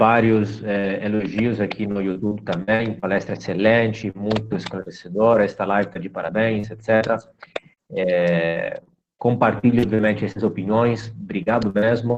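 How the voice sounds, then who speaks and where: In a fairly low pitch, a man speaks at a fairly slow pace with fairly even intonation. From Minas Gerais, Brazil (Belo Horizonte). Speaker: university lecturer and live host. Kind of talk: live online talk host.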